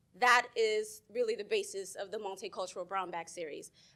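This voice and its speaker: Loud and lively in her intonation, a woman comes through clearly. The recording is very clean, with a silent background. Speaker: professor. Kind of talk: panel presentation. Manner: fast.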